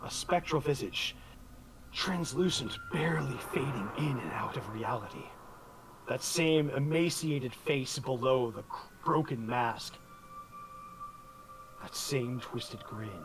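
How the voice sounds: Speaking slowly with long, frequent pauses, a man uses lively intonation at a medium pitch over faint background noise.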